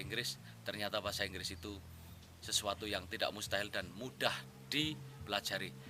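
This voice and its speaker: A man's fairly low, fairly quick voice with vocal fry, a bright, sharp tone and lively intonation. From Central Java (Wonosobo). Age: 30s. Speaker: language course student. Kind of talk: testimonial.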